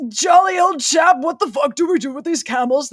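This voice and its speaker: Here is a put-on character voice in a British accent, pitched high. It moves at a fairly quick pace. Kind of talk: posh.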